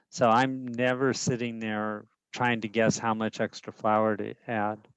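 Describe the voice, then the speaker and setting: A man at medium pitch, fairly slow and monotone with flat intonation, against a quiet background. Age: 70s. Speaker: class participant. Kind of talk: casual chat. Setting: video call.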